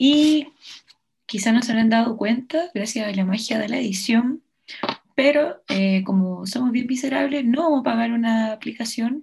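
A woman talks at a moderate pace in a plain, everyday voice, fairly high in pitch with ordinary variation. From Chile. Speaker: podcast host. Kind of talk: casual chat.

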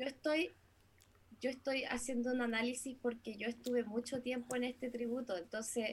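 A woman with a Chilean accent speaks at a moderate pace and a high pitch, her intonation fairly even. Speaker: singer, musician. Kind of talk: casual chat.

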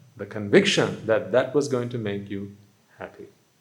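Audible room echo surrounds the voice. A man is talking fairly slowly. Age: 30s. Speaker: Buddhist monk. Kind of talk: sermon. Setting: hall with live audience.

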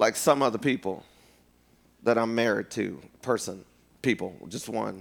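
A man speaks at a moderate pace in a medium pitch, his animated tone edged with vocal fry and ordinary pitch variation. He leaves long, frequent pauses. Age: 50s. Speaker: preacher. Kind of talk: sermon. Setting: church. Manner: loud, animated.

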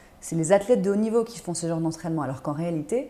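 A woman speaks at a fairly low pitch in a dark, mellow tone. Her intonation is lively. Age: 30s. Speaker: startup founder and yoga teacher. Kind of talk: interview.

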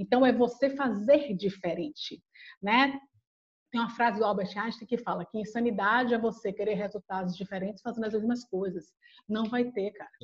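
In a Bahian accent, a woman talks in a fairly high, somewhat breathy voice with ordinary pitch variation. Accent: Bahian accent, drawn-out. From Bahia, Brazil. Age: 40s. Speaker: HR head and psychologist. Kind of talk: interview conversation.

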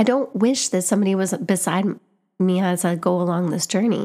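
Her pitch variation is ordinary. The woman's tone is dark and mellow. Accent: Canadian. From Canada, Winnipeg. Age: 30s. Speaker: podcast host. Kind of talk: personal storytelling monologue.

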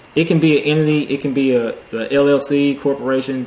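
Over noticeable background noise, a man with an American accent speaks in a fairly high, monotone, flat voice. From Houston, Texas. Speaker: accountant and real estate investor. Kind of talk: casual interview chat.

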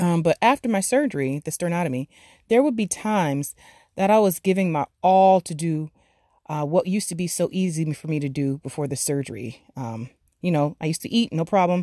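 A woman with an American accent speaks at a fairly quick pace in a fairly low pitch, her tone animated and her intonation lively. The sound is dry and close, with no echo. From Florida, US (Broward/Miami area). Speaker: podcast host, business leader and survivor. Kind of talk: motivational monologue.

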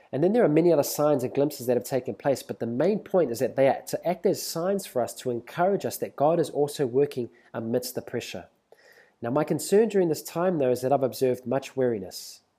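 Very fast and fairly high-pitched, a man speaks in a New Zealand accent with a dark, mellow tone. The recording is very clean, with a silent background. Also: lively intonation. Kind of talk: prophetic exhortation monologue.

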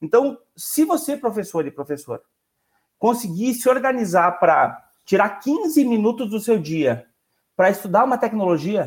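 A man with a high pitch speaks at a fairly slow pace, his pitch swinging very widely. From Rio Grande do Sul, Brazil. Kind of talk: casual panel discussion.

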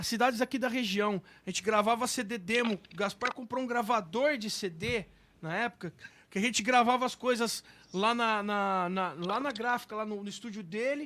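In a very clean recording with a silent background, a man projects a raised, high-pitched voice with a bright, sharp tone at a moderate pace. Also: ordinary pitch variation. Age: 40s. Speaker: musician and live show host. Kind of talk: casual chat. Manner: animated.

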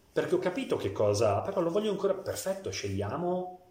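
A man talking at a fairly quick pace with very wide pitch swings, audible room echo and noticeable background noise. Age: 40s. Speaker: tailor. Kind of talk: interview.

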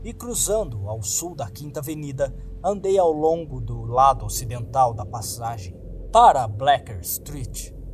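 Speaking with a Brazilian accent at a fairly slow pace, the voice shows very wide pitch swings and big swings in loudness, with music in the background. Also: man, medium pitch for a man. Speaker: audiobook narrator. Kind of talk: dramatic narration of a horror short story, read aloud.

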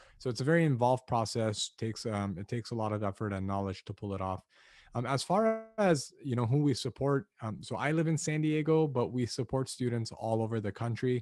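A man's plain, everyday voice at a medium pitch, with an American accent, ordinary pitch variation and a fairly quick pace, in a dry, close sound with no echo. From Los Angeles, US. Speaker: admissions consultant. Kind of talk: casual interview chat.

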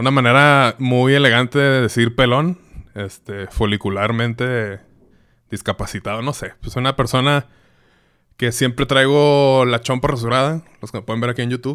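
In a very clean recording with a silent background, a man with a Mexican accent talks at a moderate pace using fairly even intonation. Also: medium pitch for a man. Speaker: podcast host. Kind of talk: casual solo monologue.

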